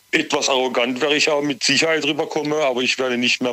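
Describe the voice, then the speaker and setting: A man's intonation stays fairly even while noticeable background noise runs underneath. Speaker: caller. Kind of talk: radio call-in. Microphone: sounded far away at first.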